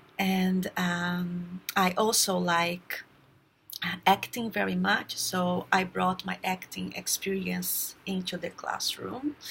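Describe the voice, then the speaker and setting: The delivery is in a Brazilian accent. The pace is very slow. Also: woman. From Brazil, raised in São Paulo. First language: Portuguese. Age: 30s. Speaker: teacher. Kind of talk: self-introduction for job application. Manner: halting, many fillers.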